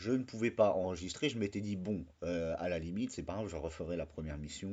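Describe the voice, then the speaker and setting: A very deep, low male voice at a fairly quick pace. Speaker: gaming YouTuber. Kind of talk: casual video review.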